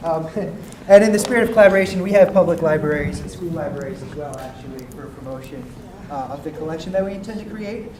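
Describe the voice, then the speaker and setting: A man's high-pitched voice at a very fast pace, with big swings in loudness, noticeable background noise and audible room echo. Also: ordinary pitch variation. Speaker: workshop participant. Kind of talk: group report-back.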